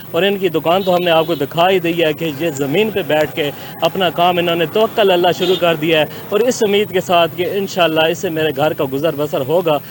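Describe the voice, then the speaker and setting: A man talks with a high pitch and fairly even intonation. His loudness stays very even despite noticeable background noise. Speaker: field reporter. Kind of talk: TV news field report.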